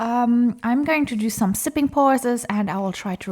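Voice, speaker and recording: A woman talks at a moderate pace with a non-native accent. Her voice is somewhat breathy. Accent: non-native English, self-described as rusty. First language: not English; comfortable in French. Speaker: craft YouTuber, diamond painter. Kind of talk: casual chat while crafting. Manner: hesitant, many fillers.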